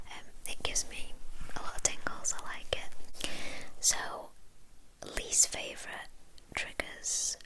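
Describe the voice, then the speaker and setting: Noticeable background noise accompanies the recording. A woman whispers at a fairly slow pace. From England. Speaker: ASMR creator. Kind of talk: chatty whispered ASMR Q&A. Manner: soft-spoken, whispering, relaxed.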